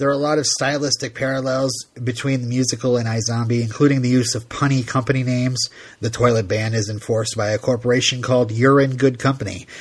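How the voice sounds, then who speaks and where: A man's somewhat breathy, monotone, flat delivery at a very fast pace. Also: medium pitch for a man. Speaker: podcast host. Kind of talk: casual chat.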